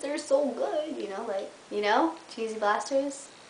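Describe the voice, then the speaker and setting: A woman's high, animated voice at a fairly slow pace, with very wide pitch swings, noticeable background noise and audible room echo. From Canada, Windsor, Ontario. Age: 20s. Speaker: journalism student vlogger. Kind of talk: casual vlog monologue.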